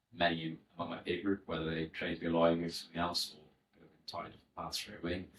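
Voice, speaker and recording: A man with a Welsh accent, very deep and low in pitch, racing at a very fast pace with hardly any pauses, flat monotone intonation and big swings in loudness. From Wales, West Wales (Aberaeron). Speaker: former solicitor, education entrepreneur. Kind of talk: podcast interview.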